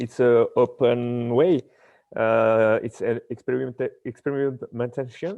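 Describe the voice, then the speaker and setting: At a fairly slow pace, a man with a French accent speaks with ordinary pitch variation. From France. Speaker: paracanoe classifier and health coach. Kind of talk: live Q&A on a video stream. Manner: halting.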